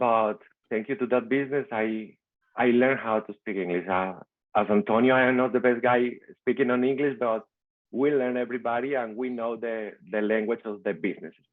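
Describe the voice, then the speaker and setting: In a Venezuelan accent, a man speaks at a medium pitch. His pace is fairly quick and his intonation fairly even. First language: Spanish. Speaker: immigrant small-business owner and real estate investor. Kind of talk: personal success story in a video call meetup. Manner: halting, with frequent repetitions.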